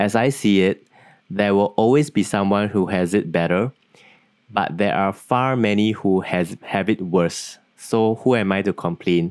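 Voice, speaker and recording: A man with an ordinary speaking voice talks at a fairly slow pace and a fairly low pitch, with ordinary pitch variation and very even loudness, in a very clean recording with a silent background. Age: 30s. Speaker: podcast host. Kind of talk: casual chat.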